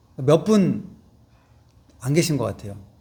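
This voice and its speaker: A man's fairly high voice with a dark, mellow tone and lively intonation, plus audible room echo. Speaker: pastor. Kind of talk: sermon. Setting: church.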